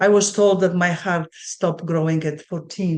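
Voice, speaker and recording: A woman's fairly low voice, monotone and flat in intonation, at a fairly slow pace. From Poland. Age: 60s. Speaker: spiritual coach. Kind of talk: interview.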